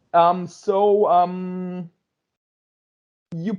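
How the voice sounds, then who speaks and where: A man with a German accent. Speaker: music interviewer. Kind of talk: interview. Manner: halting.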